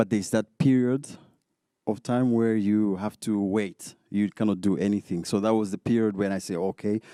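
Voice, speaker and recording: A man speaks at a moderate pace with a fairly low pitch, a dark, mellow tone and fairly even intonation. The recording is very clean and dry, close-miked with no echo and a silent background. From Zambia. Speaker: DJ. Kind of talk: interview. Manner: halting, many fillers and repetitions.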